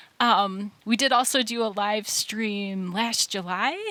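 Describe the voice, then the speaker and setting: This woman has a bright, sharp tone at medium pitch. She speaks with a Wisconsin accent. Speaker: band member. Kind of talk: casual chat. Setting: livestream Q&A in a basement.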